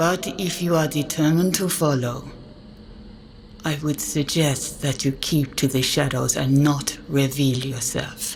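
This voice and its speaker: A put-on character voice at a low-to-middle pitch speaks at a fairly slow pace. Background noise is clearly audible. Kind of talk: archaic formal speech. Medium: actual play. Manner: formal, measured.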